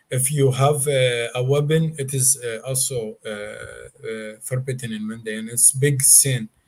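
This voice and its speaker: A man with a non-native accent speaks fairly slowly and somewhat breathily, his intonation fairly even. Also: medium pitch for a man, hardly any pauses. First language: not English. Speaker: Mandaean guest explaining his religion. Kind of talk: interview. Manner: relaxed; halting, many fillers.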